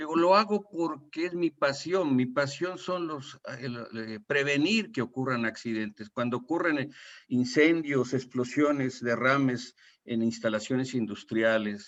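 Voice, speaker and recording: This man talks at a fairly slow pace. His pitch sits in the medium range. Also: lively intonation. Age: 60s. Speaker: retired oil industry safety consultant. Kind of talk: webinar panel talk. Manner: halting, with repetitions.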